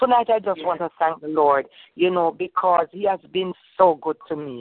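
Lively intonation marks a woman's unremarkable speaking voice. Her pitch is medium and her pace moderate. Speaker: caller sharing testimony. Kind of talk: testimony. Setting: phone call.

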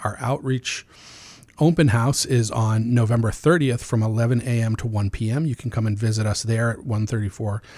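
This man talks at a moderate pace with a medium pitch, ordinary pitch variation and a somewhat breathy quality. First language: Amharic. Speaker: nonprofit executive director for homeless youth. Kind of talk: radio interview. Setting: radio studio.

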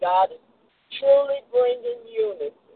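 A woman speaks at a fairly slow pace. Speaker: caller, student on internship. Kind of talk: prayer request and testimony. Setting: phone call.

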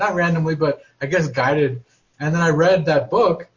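Somewhat breathy, the voice moves at a fairly quick pace with fairly even intonation. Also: man. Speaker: class participant.

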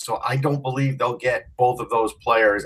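At a moderate pace, a man speaks in a somewhat breathy voice with fairly even intonation. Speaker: podcast host. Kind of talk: casual chat.

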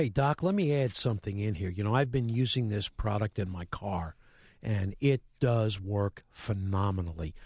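A somewhat breathy man talks over a quiet background. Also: fairly low pitch for a man, ordinary pitch variation, moderate pace, dry, close sound with no echo. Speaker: radio co-host.

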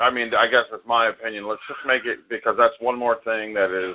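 A plain, everyday voice with fairly even intonation at a moderate pace. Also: man. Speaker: committee head. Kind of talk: casual group meeting. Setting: live recorded online meeting.

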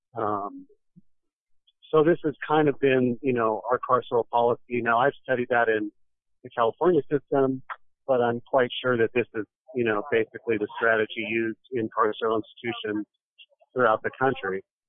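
The man's voice sits at a medium pitch with fairly even intonation. He keeps a moderate pace, broken by long, frequent pauses. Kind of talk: panel discussion.

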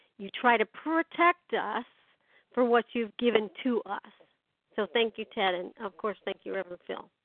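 Speaking at a moderate pace, a woman with an ordinary speaking voice has a fairly high pitch, ordinary pitch variation and big swings in loudness. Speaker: caller. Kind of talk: group conference call discussion. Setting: phone call.

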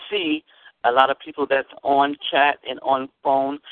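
A man with an American accent speaks in a normal speaking voice at a moderate pace, his pitch fairly high. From Arizona. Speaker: church elder calling in. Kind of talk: encouraging testimony and exhortation.

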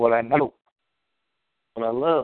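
Speaking at a moderate pace, a man keeps a medium pitch and fairly even intonation. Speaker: amateur internet radio host talking video games. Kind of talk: casual solo talk show. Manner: rambling; halting.

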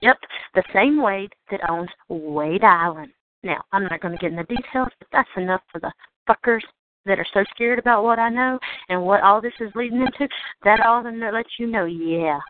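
The speaker has a Southern US accent and lively intonation. The pace is moderate. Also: woman. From Georgia, United States. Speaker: call-in talk show host. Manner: ranting, agitated.

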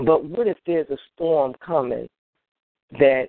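A woman with an American accent at a very slow pace. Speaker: radio host. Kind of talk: live call-in radio show. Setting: phone call-in show.

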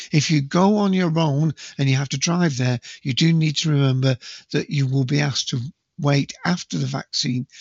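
His voice has vocal fry, a slightly husky edge and ordinary pitch variation, as this man speaks in a dry, close sound with no echo.

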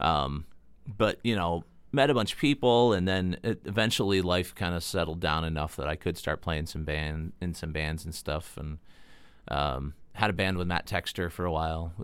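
Very deep, low pitch from a man with an American accent, in a very clean recording with a silent background. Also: ordinary pitch variation, moderate pace. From northwestern Pennsylvania (Erie area). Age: 40s. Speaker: musician and engineer. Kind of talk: casual chat.

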